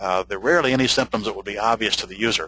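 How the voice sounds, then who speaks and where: At a very fast pace, a man speaks at a medium pitch in a bright, sharp tone. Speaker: computer repair trainer. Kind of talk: webinar lecture. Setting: webinar over wired connection.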